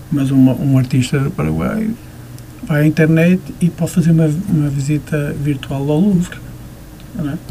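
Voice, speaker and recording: A man speaks at a moderate pace with a fairly high pitch, ordinary pitch variation, and long, frequent pauses, against noticeable background noise. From Porto, Portugal. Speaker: visual artist. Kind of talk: radio interview. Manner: halting, many fillers.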